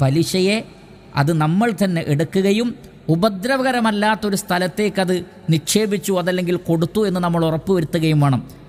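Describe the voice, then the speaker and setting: This man's voice is high in pitch, with ordinary pitch variation and very even loudness. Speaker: Islamic preacher. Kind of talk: religious lecture.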